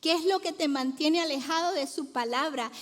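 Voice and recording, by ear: Here a woman talks at a moderate pace in a fairly bright tone. Her pitch varies in an ordinary way.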